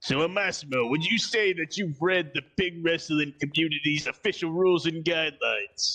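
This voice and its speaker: A man's put-on character voice, fairly high in pitch, at a moderate pace with hardly any pauses. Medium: actual play.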